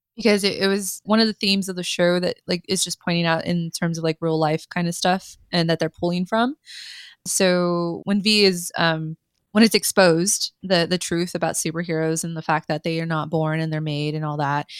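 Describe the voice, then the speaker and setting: An unremarkable speaking voice at a moderate pace, with fairly even intonation, in a dry, close sound with no echo and a very clean recording over a silent background. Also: woman, fairly low pitch for a woman. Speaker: podcast co-host. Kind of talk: casual chat.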